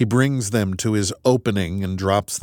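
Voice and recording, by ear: The pitch shifts in an ordinary way. It is reading aloud in a natural voice.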